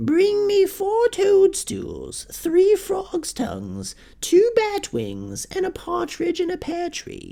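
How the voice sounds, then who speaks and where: A man does a put-on character voice at an extremely high pitch. He goes at a very slow pace with hardly any pauses. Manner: mocking.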